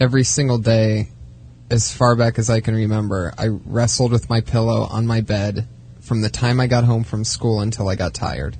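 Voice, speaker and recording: The pace here is moderate. It is an ordinary speaking voice. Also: man, medium pitch for a man, fairly even intonation. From Youngstown, Ohio, US. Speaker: comedian. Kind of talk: casual chat.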